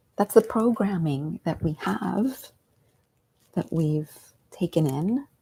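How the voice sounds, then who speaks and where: This woman speaks very slowly in a fairly low, somewhat breathy voice with a dark, mellow tone. Her intonation is lively, and the sound is dry and close with no echo. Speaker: meditation teacher and coach. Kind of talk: guided meditation talk, live stream. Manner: unscripted, casual.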